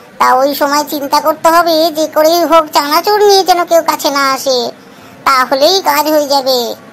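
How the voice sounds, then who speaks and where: A cartoonish character voice pitched high comes through over clear background noise. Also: moderate pace. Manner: lively, chatty.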